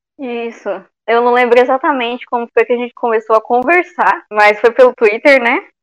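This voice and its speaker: No echo colors the dry, close sound. All around, the background stays quiet. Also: woman, high pitch for a woman, ordinary pitch variation, moderate pace. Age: 20s. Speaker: podcast co-host. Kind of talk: casual chat.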